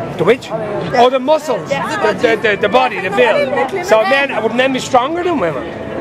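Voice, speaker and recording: Against crowd noise in the background, a man with an extremely high pitch talks at a moderate pace with lively intonation. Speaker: street interview presenter. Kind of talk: casual street interview questions, teasing banter. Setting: outdoors, nightlife street.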